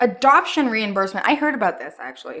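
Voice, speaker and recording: This woman sounds animated, with lively intonation. She speaks with a Montreal accent. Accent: Montreal English (Canadian). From Montreal, Quebec, Canada. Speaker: anti-MLM vlogger, former barista. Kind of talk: casual vlog commentary.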